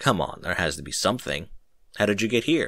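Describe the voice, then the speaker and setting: A man puts on a raspy character voice, fairly low in pitch. He talks at a fairly quick pace with very wide pitch swings. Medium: read story. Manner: confident, mocking.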